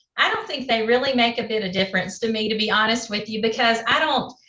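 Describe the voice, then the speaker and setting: Over noticeable background noise, a woman with a Southern US accent speaks at a fairly high pitch. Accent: southern twang. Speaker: game show contestant. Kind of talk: casual chat.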